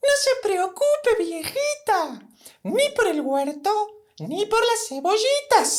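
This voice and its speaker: A put-on character voice, squeaky and extremely high, with very wide pitch swings at a very slow pace. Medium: read story. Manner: small but determined.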